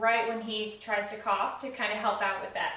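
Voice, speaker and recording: Noticeable background noise behind a woman speaking at a fairly high pitch. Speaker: family caregiver. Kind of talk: tutorial demo explanation.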